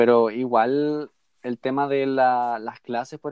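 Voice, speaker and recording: The speaker is a man with a Chilean accent. His pitch is medium. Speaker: podcast co-host. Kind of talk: casual chat. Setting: video call.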